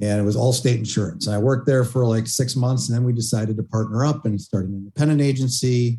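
With a dark, mellow tone at a medium pitch, a man speaks very fast and somewhat breathily, his intonation fairly even and his delivery with hardly any pauses. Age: 50s. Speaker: web design agency owner. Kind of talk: interview.

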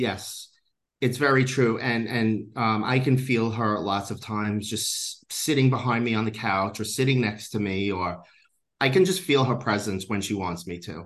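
The man has an unremarkable speaking voice at medium pitch with ordinary pitch variation. The background is quiet. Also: moderate pace. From New York. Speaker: psychic medium. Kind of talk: interview.

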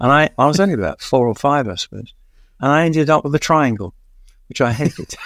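Heard in a dry, close sound with no echo, a man with a London accent talks at a very fast pace with lively intonation. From East London. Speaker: music journalist and author. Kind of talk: casual interview, storytelling.

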